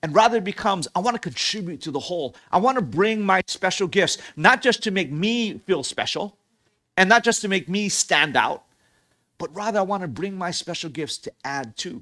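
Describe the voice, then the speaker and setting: A man speaks in a raised, projected voice, pitched high with a bright, sharp tone and lively intonation. His pace is moderate, and the recording is very clean with a silent background. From Hawaii. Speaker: pastor. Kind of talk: sermon.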